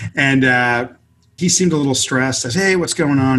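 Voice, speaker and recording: At a fairly quick pace, a man with an American accent talks in an ordinary speaking voice, medium in pitch with ordinary pitch variation. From US West Coast, inner-city Los Angeles. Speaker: author and multimedia consultant. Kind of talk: interview conversation.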